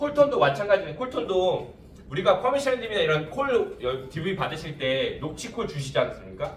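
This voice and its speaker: A man with a high voice swings his pitch very widely. The room echo is audible, and there is noticeable background noise. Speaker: insurance sales trainer. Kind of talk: lecture. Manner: fast.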